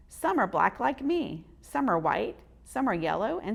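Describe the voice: The clip is a plain reading aloud.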